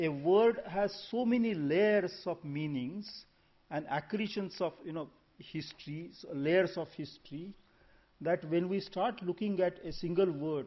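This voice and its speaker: High-pitched male speech with an Indian accent at a fairly slow pace, with ordinary pitch variation and big swings in loudness. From India (Maharashtra/Gujarat). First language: Marathi and Gujarati. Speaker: conference speaker, language scholar. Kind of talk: conference talk. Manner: halting, with self-corrections.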